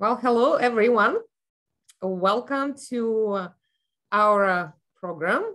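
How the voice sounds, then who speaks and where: A woman speaks at a very slow pace with long, frequent pauses. Her pitch variation is ordinary, and the background is quiet. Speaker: alumni relations associate director. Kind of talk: webinar host introduction. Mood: warm, friendly. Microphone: video call.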